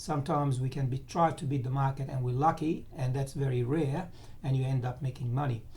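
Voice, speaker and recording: This man has a dark, mellow, somewhat breathy voice at a fairly high pitch. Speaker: financial market analyst. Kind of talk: tutorial. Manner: halting.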